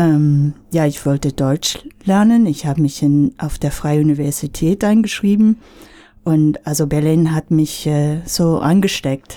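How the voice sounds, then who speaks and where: Her voice very deep and low, a woman with an English accent speaks fairly slowly in a dark, mellow tone at very even loudness. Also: ordinary pitch variation. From United States. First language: English (speaking German). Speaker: singer-songwriter. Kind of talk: radio interview.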